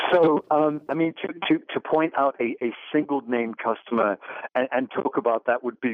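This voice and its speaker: Man at medium pitch and moderate pace, with ordinary pitch variation. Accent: English. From England. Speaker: tech company CEO. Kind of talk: radio interview. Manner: halting, repeats words.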